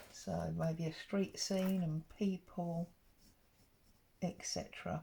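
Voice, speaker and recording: Speaking at a very slow pace, a woman sounds somewhat breathy, her tone dark and mellow. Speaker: papercraft YouTuber. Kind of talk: crafting tutorial. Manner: casual, chatty.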